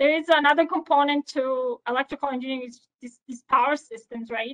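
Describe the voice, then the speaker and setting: A woman speaks with a non-native accent. Her intonation stays fairly even. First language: not English. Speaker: power engineer, senior manager. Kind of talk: podcast interview. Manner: hesitant, many fillers.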